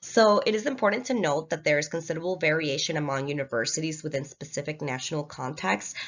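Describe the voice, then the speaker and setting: A woman with a slight Latin American accent speaks very fast in a very deep, low voice, with ordinary pitch variation. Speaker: student. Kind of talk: class presentation.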